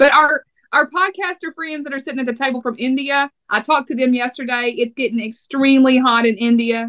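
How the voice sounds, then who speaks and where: A bright, sharp, animated voice in a Texas accent, at a fairly quick pace with hardly any pauses, ordinary pitch variation, and a dry, close sound with no echo. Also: woman, high pitch for a woman. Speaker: podcast host. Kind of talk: casual podcast chat.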